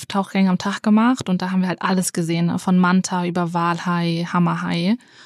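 A woman speaks at a medium pitch in a monotone, flat intonation, with hardly any pauses. The recording is very clean, with a silent background. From Hamburg area, Germany. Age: 20s. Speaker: student. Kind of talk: casual chat; voice message self-introduction.

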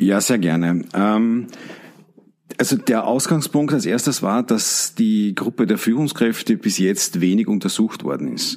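With an Austrian accent, a man speaks fairly slowly at a medium pitch, his intonation lively. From Austria, Carinthia. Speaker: leadership trainer. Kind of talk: interview.

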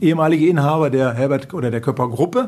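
A man rattles along at a very fast pace while noticeable noise fills the background. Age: 50s. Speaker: car dealership managing director. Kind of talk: interview. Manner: calm.

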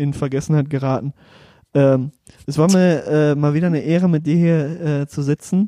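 Fairly high in pitch, a man's voice carries a dark, mellow tone and fairly even intonation. The sound is dry and close with no echo. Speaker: podcast co-host. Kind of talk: casual chat.

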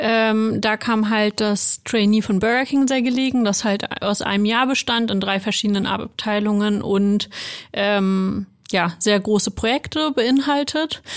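A woman with a fairly high pitch talks at a very slow pace. Her intonation is fairly even and her loudness very even. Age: 20s. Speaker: HR analyst. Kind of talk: casual chat.

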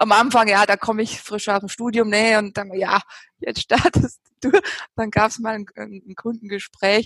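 In an unremarkable speaking voice, a woman with fairly high pitch talks at a moderate pace with fairly even intonation and big swings in loudness, the sound dry and close with no echo. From Bavaria. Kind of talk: casual chat.

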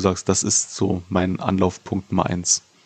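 The recording of a man with a fairly low pitch is dry and close, with no echo. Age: 30s. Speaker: podcast host. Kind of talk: interview.

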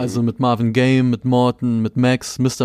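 With an ordinary speaking voice, a man talks at a medium pitch in fairly even intonation. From Berlin (Moabit). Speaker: music magazine interviewer. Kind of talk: casual interview.

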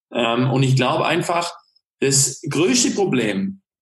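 Lively intonation runs through a man's somewhat breathy delivery. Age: 30s. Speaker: restaurateur and hunter. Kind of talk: casual interview.

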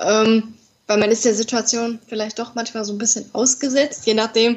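Normal speaking voice of a woman, fairly high in pitch, at a moderate pace. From Ruhr area, Germany (Dortmund). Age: 20s. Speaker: podcast guest with congenital heart defect. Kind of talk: interview.

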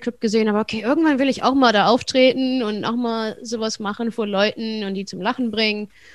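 Over a quiet background, a woman with a fairly high pitch speaks at a very fast pace with fairly even intonation. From Germany, Wuppertal. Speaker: stand-up comedian. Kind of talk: casual interview.

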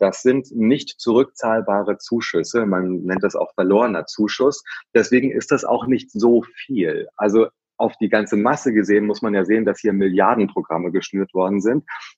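A man speaks at a moderate pace and a medium pitch with ordinary pitch variation, in a dry, close sound with no echo over a quiet background. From central Hesse, Germany (Herborn). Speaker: hospitality trade association executive. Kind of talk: interview. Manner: halting with frequent fillers and repetitions.

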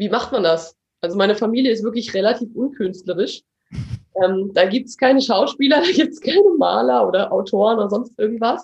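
A woman speaks in a plain, everyday voice, fairly high in pitch. Her pace is fairly quick and her intonation lively. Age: 20s. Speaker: actress and acting teacher. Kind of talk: interview; guided exercise.

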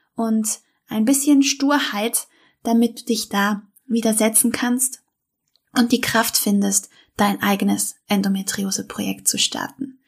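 Somewhat breathy and fairly high-pitched, a woman talks at a fairly slow pace. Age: 30s. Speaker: health podcaster, endometriosis patient. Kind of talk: podcast intro monologue.

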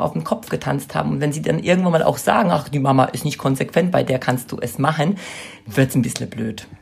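A woman speaks over noticeable background noise. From Poland. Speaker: childcare consultant and trainer. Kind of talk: interview.

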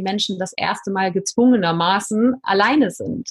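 The woman's voice is somewhat breathy and medium in pitch. She speaks at a moderate pace. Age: 40s. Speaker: life coach. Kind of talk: podcast interview.

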